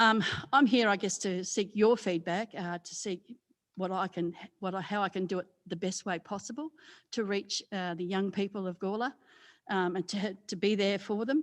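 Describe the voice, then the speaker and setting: Recorded very cleanly against a silent background, a woman with an Australian accent talks at a moderate pace with ordinary pitch variation. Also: medium pitch for a woman. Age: 60s. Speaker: community development coordinator. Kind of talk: presentation to a committee. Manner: loud; halting, many fillers.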